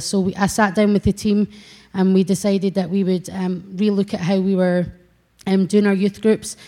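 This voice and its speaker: Speaking with a Scottish accent, a woman has a medium-pitched, dark, mellow tone. Her delivery is monotone and flat at a moderate pace. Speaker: church youth worker. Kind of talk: testimony. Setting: church. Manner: halting.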